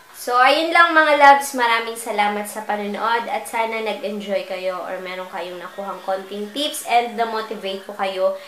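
A woman's voice at a moderate pace, with ordinary pitch variation, big swings in loudness, audible room echo and light background noise. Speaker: home vlogger. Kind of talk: casual vlog chat. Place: home room. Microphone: phone near.

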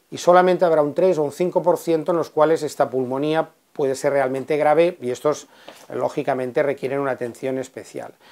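Fairly high in pitch, a man speaks at a moderate pace with fairly even intonation. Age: 60s. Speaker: physician. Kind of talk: explainer. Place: office. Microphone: lapel.

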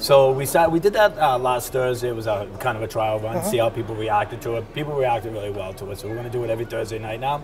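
A man's very fast speech with hardly any pauses and ordinary pitch variation, against noticeable background noise. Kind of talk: interview answer. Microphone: lapel.

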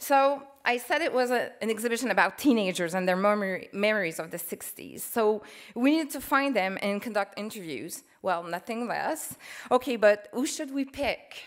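In a Quebec accent, a woman speaks at a moderate pace and a fairly high pitch with lively intonation, over a quiet background. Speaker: museum curator. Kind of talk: conference presentation. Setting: stage with audience. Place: hall. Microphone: podium.

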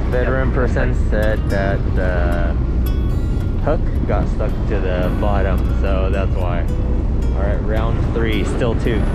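Very slow speech from a man, music in the background, dry sound with no echo. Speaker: vlogger on fishing trip. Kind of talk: casual vlog chat. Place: boat. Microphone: phone near.

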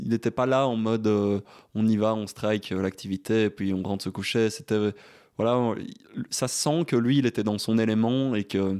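Recorded very cleanly with a silent background, a man with a fairly low pitch speaks at a moderate pace with fairly even intonation. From Belgium, Liège. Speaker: adventurer and bioengineer. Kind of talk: casual chat. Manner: halting.

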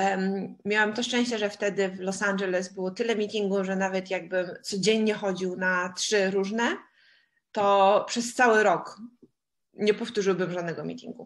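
At a moderate pace, a woman of medium pitch speaks in a monotone, flat intonation before a quiet background. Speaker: interpreter. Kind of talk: live interpretation.

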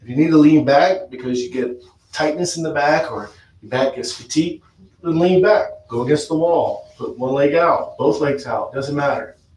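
A man talks at a moderate pace with a fairly high pitch and ordinary pitch variation. His loudness swings widely, and room echo is audible. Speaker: yoga instructor. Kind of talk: guided yoga class with talk. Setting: live stream. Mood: calm, soothing. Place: home room. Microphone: camera far.

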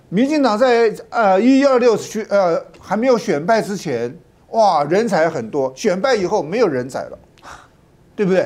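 Lively in intonation, a man talks at a moderate pace in a high pitch. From Taiwan. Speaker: politician. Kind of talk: talk show panel discussion. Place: studio.

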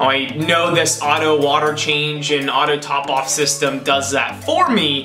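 A fairly slow pace over clear music in the background. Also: man. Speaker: hobby vlogger. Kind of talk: casual vlog chat. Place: office.

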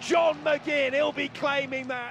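Noticeable background noise sits behind a man talking in an animated tone. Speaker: football commentator. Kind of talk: live sports commentary. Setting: stadium match commentary over highlights. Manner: animated, excitable, rising in pitch at goals.

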